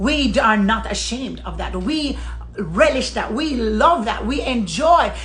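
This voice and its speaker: In an American accent, the speaker goes at a fairly slow pace with audible room echo. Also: woman. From Jamaica. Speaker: social media commentator. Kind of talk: impassioned monologue. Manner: emphatic.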